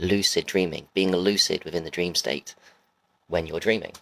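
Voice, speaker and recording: A man talks in a very deep, low pitch. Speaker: wellness vlogger. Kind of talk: casual live monologue. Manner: casual, hesitant with fillers.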